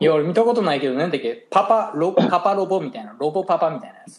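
This man speaks at a very fast pace with a Kansai accent. His pitch is high and his intonation lively. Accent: Kansai dialect Japanese. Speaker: podcast co-host, hairdresser. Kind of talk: casual chat. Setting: remote call from abroad, evening.

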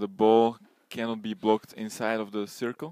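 On a very clean recording with a silent background and a dry, close sound with no echo, a man of medium pitch speaks at a moderate pace in a Slovak accent. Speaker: podcast host. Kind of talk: interview.

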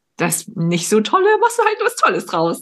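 Her intonation is lively and her pace moderate. The woman's voice is somewhat breathy. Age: 30s. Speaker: podcast host and performance coach. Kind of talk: casual interview chat. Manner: animated.

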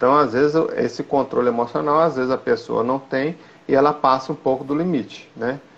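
A man with an ordinary speaking voice talks at a moderate pace and a fairly high pitch, with ordinary pitch variation. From Minas Gerais, Brazil (Belo Horizonte). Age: 40s. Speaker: football referee and nurse. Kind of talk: interview, casual chat. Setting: video call.

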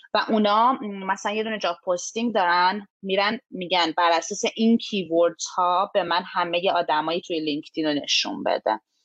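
A woman speaks at medium pitch and a moderate pace, with ordinary pitch variation and a normal speaking voice. The sound is dry and close, with no echo. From Iran. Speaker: immigrant sharing experience. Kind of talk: podcast interview.

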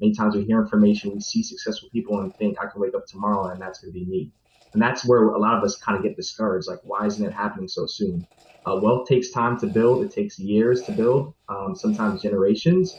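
A man talks at a very fast pace in a fairly low pitch. His voice is somewhat breathy, with ordinary pitch variation. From New York. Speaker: financial analyst. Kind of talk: panel discussion.

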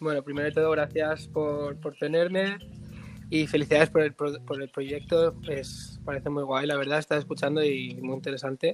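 Here a man talks at a moderate pace and a fairly high pitch. The delivery is monotone and flat. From Spain, Barcelona. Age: 20s. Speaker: artist manager. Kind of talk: casual interview. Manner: halting, many repetitions.

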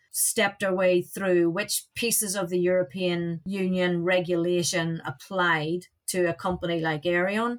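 A woman speaks at a moderate pace in an Irish accent, her medium-pitched voice delivered in a monotone, flat intonation. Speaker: aviation safety director, former air traffic controller. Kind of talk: interview. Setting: studio.

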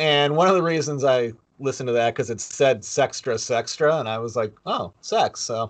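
Here is a man with a plain, everyday voice at medium pitch. He talks at a moderate pace with ordinary pitch variation. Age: 50s. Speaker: podcast co-host. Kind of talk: casual chat.

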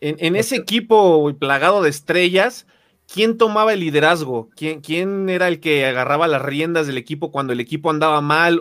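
In a very clean recording with a silent background, the speaker talks at a fairly quick pace with a Mexican accent and ordinary pitch variation. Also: man. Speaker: podcast host. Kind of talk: interview.

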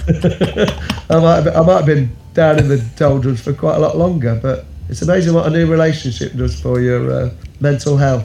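With noticeable background noise in the recording, a man speaks at a moderate pace. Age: 50s. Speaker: caller sharing a suicide survival story. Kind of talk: personal testimony.

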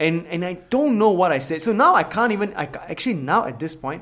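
A man's animated tone at a very fast pace. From Singapore. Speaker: podcast co-host. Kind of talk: casual chat.

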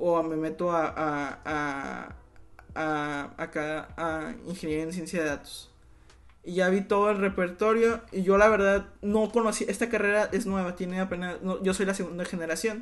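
The background is quiet. The speech comes at a fairly slow pace. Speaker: university student podcast host. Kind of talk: casual chat.

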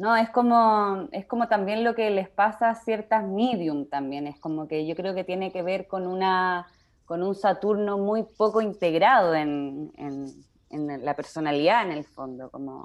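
Speaking at a fairly slow pace, a woman has a Chilean accent and a medium pitch. Her intonation is lively. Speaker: podcast host, astrology writer. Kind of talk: interview conversation.

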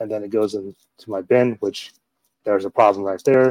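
A man's unremarkable speaking voice, fairly low in pitch, fairly quick and fairly even in intonation, with a dry, close sound and no echo. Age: 40s. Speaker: podcast host. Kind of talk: casual chat.

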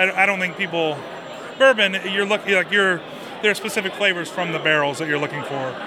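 A man with a raised, projected voice and high pitch speaks at a fairly quick pace with ordinary pitch variation. Noticeable background noise is present. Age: 40s. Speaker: brewer. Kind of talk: interview.

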